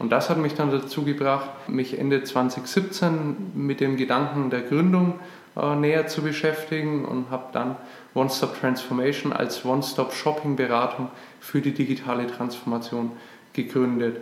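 A man in a Franconian accent, fairly high in pitch, at a moderate pace with fairly even intonation, over noticeable background noise. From Franconia, Nuremberg, Germany. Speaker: podcast co-host, business founder. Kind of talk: casual podcast introduction.

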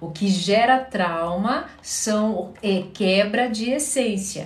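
Noticeable background noise and audible room echo surround a woman speaking with lively intonation. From Curitiba, southern Brazil. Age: 40s. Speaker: psychologist. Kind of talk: live-stream Q&A. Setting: live stream on social media.

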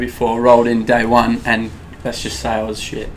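A man with an Australian accent at a medium pitch, moderate pace, audible room echo and noticeable background noise. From Perth, Western Australia. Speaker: gym owner. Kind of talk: casual chat.

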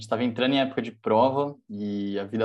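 Over a quiet background, a man with a dark, mellow tone speaks at a fairly quick pace. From Brazil, São Paulo. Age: 20s. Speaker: university student and startup founder. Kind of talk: casual chat.

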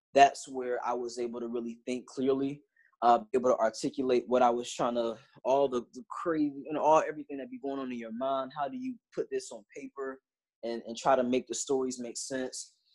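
A man's medium-pitched voice at a fairly quick pace, with big swings in loudness. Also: fairly even intonation. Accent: American. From Virginia, US East Coast. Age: 20s. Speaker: college student and author. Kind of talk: casual interview. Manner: halting, many fillers.

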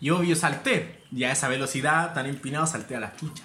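Speaking at a fairly quick pace with a Chilean accent, a man with a fairly high voice is heard through noticeable background noise and audible room echo. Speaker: tattoo artist. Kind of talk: casual chat.

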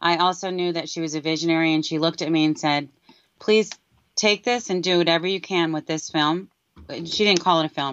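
A woman with an American accent speaks at a fairly quick pace in a fairly low pitch, with fairly even intonation and a normal speaking voice. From New York City (Brooklyn/Queens). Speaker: filmmaker and former worship singer. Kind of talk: interview.

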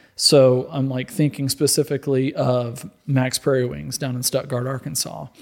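An ordinary speaking voice. A man at medium pitch talks at a moderate pace with fairly even intonation and hardly any pauses. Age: 30s. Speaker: apparel company executive. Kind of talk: casual chat.

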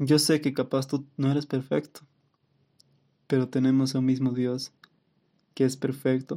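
A man talks at a fairly slow pace with a dark, mellow tone and monotone, flat intonation. His loudness stays very even, broken by long, frequent pauses. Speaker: podcast host. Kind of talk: testimony. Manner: laughs often.

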